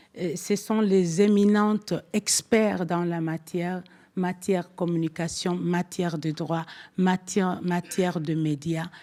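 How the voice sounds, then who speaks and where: A woman with a fairly low pitch speaks at a very slow pace with a non-native accent and fairly even intonation. The recording is very clean, with a silent background. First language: not French (speaking French). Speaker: forum speaker, commission vice-president. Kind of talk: conference speech. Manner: halting, many hesitations.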